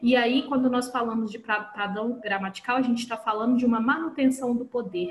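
A high-pitched woman speaks at a moderate pace with ordinary pitch variation. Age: 30s. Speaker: teacher and writer, podcast panelist. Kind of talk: casual podcast discussion.

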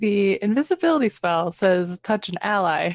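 A woman speaks at a medium pitch in a plain, everyday voice, with a dry, close sound and no echo. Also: quiet background. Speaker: player in tabletop role-playing game. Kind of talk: casual game chat, in-character.

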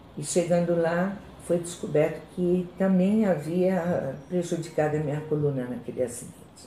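A woman's voice carries audible room echo. There is noticeable background noise too. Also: ordinary pitch variation, moderate pace. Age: 60s. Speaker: chronic pain patient. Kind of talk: testimony.

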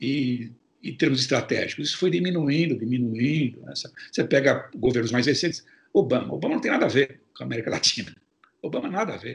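The delivery comes at a fairly quick pace, with big swings in loudness. The voice is somewhat breathy and shows ordinary pitch variation. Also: man, fairly high pitch for a man. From Brazil, São Paulo. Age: 60s. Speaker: journalist, foreign correspondent. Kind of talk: interview.

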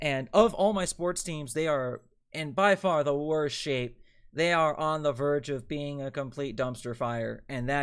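A man speaks in an unremarkable speaking voice at a fairly high pitch, with ordinary pitch variation. His pace is moderate, and the recording is very clean with a silent background. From Delaware, US. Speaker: sports podcast host and NFL writer. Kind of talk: solo sports podcast monologue, live streamed. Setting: live stream.

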